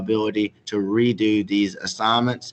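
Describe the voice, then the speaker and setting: Fairly even intonation from a male speaker with a Southern US accent. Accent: Southern US, noticeable. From South Carolina, Chesterfield. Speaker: middle school teacher. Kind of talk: presentation to parents. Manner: formal.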